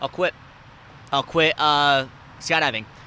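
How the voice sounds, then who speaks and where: A fairly high-pitched man keeps a moderate pace as he talks. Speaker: podcast host. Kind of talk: casual chat. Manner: loud.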